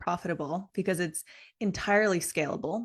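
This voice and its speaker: A woman with an ordinary speaking voice talks at a moderate pace in a medium pitch, with ordinary pitch variation against a quiet background. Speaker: business coach. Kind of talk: live online business training. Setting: livestream.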